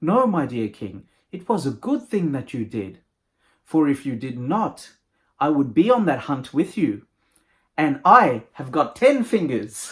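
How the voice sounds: Using a put-on character voice, a man speaks at a fairly slow pace with fairly high pitch, a slightly husky edge, and big pitch swings.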